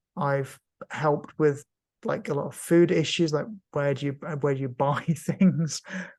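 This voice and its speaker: His voice has a somewhat breathy quality. The man talks at a moderate speed. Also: fairly high pitch for a man, ordinary pitch variation. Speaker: cancer patient and patient advocate. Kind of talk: casual interview. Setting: video call. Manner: halting, many fillers.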